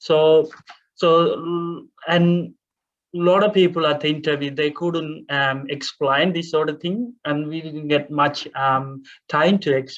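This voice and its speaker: Speaking with a Tamil accent, a man with a fairly high pitch goes at a fairly slow pace with fairly even intonation. He leaves long, frequent pauses. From Sri Lanka (Tamil). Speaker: refugee speaker. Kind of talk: panel Q&A testimony. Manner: halting, many fillers.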